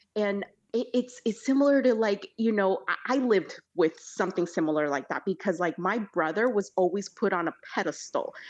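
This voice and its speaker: Against a quiet background, a woman with a Spanish accent talks at a moderate pace in a medium pitch. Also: lively intonation. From El Salvador, raised in California. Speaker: podcast guest. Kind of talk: casual interview conversation. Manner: halting, stumbles over some words.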